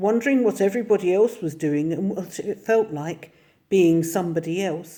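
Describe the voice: With pitch that shifts in a normal way, the words are given a plain reading aloud.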